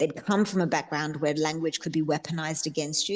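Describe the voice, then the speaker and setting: Over a quiet background, a woman with an Australian accent speaks at a very deep, low pitch. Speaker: novelist. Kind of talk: book club author interview. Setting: video call.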